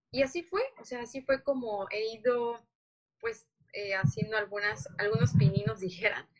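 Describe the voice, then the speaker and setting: A woman talks at a fairly high pitch that makes very wide swings. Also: moderate pace. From Chiapas, Mexico. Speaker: journalist and former model. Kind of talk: casual interview chat.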